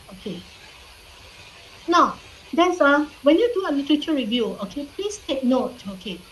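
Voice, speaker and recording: A woman with a non-native accent speaks at a moderate pace amid noticeable background noise and audible room echo. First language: not English. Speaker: university lecturer. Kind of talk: online lecture. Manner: frequent fillers, repeats okay.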